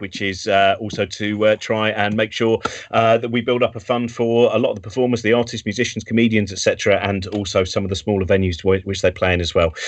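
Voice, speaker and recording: A man keeps up a fairly quick pace while noticeable background noise plays on. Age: 50s. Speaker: live show host. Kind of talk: casual chat. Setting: video call from home.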